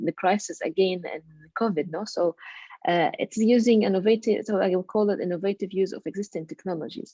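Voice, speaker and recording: A woman's medium-pitched voice, dark and mellow in tone, at a moderate pace. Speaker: education researcher presenting at a webinar. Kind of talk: webinar presentation. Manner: halting, many filler sounds.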